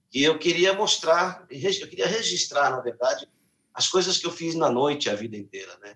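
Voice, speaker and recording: A man with a plain, everyday voice and lively intonation. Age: 50s. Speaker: singer and musician. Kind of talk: interview.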